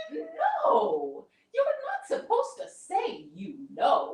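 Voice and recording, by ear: A put-on character voice sits at an extremely high pitch. It moves at a very slow pace.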